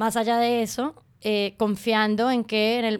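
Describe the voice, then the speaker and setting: A woman talks with monotone, flat intonation. The recording is very clean, with a silent background. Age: 30s. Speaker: podcast host and art student. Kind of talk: casual chat. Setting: dining table at home.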